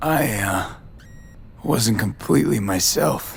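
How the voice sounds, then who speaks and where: A raspy, low-pitched put-on character voice moves at a fairly slow pace. Background noise is clear. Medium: video game.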